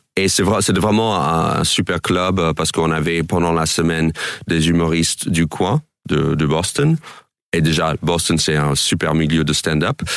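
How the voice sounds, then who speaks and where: Speaking at a fairly slow pace, a man with a very deep, low pitch keeps fairly even intonation and very even loudness. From New York suburbs, US. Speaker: stand-up comedian. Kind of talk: radio interview. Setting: radio studio. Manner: hesitant, filler-heavy.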